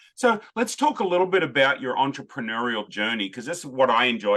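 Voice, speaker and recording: Speaking at a fairly quick pace, a man with an Australian accent uses lively intonation. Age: 50s. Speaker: podcast host. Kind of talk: interview.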